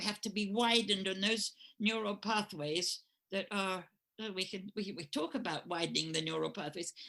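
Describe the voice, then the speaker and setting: A woman's bright, sharp voice with an English accent, medium in pitch, with ordinary pitch variation. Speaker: astrologer and spiritual teacher. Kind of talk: interview. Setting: podcast recording. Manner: halting.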